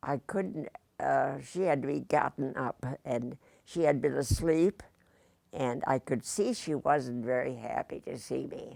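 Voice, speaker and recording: A woman at a fairly slow pace, very clean recording with a silent background, the sound dry and close with no echo. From Indiana. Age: 80s+. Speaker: retired teacher. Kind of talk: interview.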